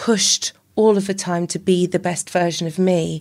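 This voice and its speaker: With a Welsh accent, a woman speaks at a medium pitch and a moderate pace. Her intonation is fairly even, and the recording is very clean with a silent background. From Wales, Llanelli. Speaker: army veteran and para athlete. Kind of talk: casual chat. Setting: House of Lords building.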